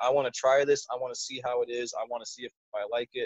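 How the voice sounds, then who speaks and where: A man speaks at a very fast pace. He has an American accent. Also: dry, close sound with no echo. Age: 20s. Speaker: podcast guest, channel subscriber. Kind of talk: casual chat.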